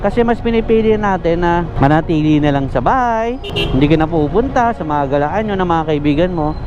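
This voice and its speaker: A man's high-pitched voice at a fairly quick clip, with lively intonation, hardly any pauses, noticeable background noise and audible room echo. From Cavite, Philippines. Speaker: delivery rider vlogger. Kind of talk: casual vlog. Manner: sounds angry to some.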